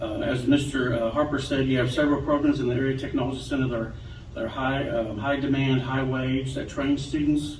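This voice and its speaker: Over noticeable background noise and audible room echo, a man with an American accent talks at a very fast pace. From Western Kentucky. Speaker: state education official. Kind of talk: ceremony speech.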